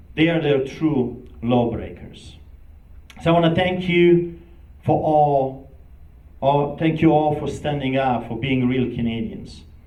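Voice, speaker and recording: A man with a fairly high pitch speaks at a very slow pace. His pitch varies in an ordinary way, and the room echo is audible. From Poland. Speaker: pastor. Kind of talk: speech. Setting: event with live audience. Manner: impassioned.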